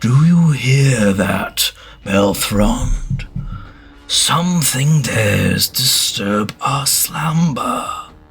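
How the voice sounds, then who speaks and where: Using a put-on character voice at a fairly high pitch, a man speaks at a very slow pace. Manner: menacing, disdainful.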